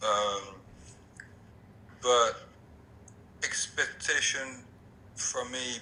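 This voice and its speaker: Background noise is noticeable. A man talks with a French accent. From France. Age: 50s. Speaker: interviewee. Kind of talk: interview. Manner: halting, frequent repetitions.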